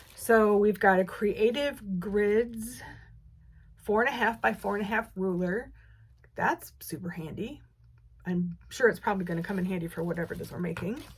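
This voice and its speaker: This woman's somewhat breathy voice sits at a medium pitch, moving at a moderate pace with ordinary pitch variation. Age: 60s. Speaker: quilting video creator. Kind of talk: casual unboxing chat. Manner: halting, many fillers and restarts.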